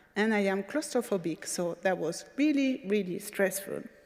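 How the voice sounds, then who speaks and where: A woman with a French accent talks at a fairly slow pace with lively intonation and a dark, mellow tone, in a very clean recording against a silent background. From France. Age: 40s. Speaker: patient advocate speaker. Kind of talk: conference talk.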